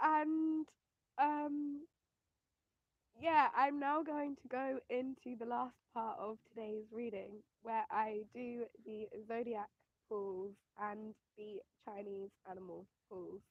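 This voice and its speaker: The speaker talks at a very slow pace with an English accent, ordinary pitch variation, and long, frequent pauses. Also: woman, fairly high pitch for a woman. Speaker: spiritual reader and astrologer. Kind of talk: live-streamed tarot and astrology reading. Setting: livestream. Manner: loud, shouting over noise.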